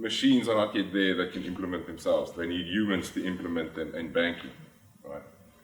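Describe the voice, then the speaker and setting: Very deep and low, this man's voice carries a South African accent with ordinary pitch variation. Audible echo from the room surrounds his speech. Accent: South African (Afrikaans) English. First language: Afrikaans. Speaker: finance executive. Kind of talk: conference talk. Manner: hesitant, many filler sounds.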